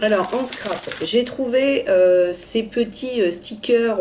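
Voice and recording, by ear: Speaking slowly with a dark, mellow tone and ordinary pitch variation, a woman is heard over audible room echo.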